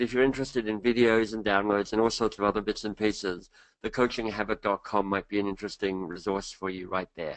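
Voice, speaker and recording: A man with an Australian accent, fairly low-pitched and fairly even in intonation, talking at a very fast pace against a quiet background. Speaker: leadership coach and author. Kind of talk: webinar presentation. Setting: online webinar.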